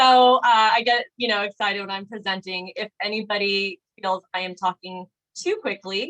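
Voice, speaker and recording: At a moderate pace and medium pitch, a woman talks in a normal speaking voice with ordinary pitch variation. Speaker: physical therapist presenting a health webinar. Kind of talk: webinar presentation. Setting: video call.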